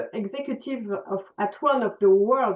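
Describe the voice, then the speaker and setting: This woman talks with a French accent. Her intonation is lively. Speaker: conference moderator. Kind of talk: panel moderation. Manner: halting, many fillers.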